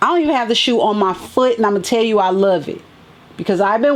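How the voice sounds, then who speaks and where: A woman's medium-pitched voice, lively in intonation, competes with noticeable background noise. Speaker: sneaker and fashion vlogger. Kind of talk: casual unboxing vlog.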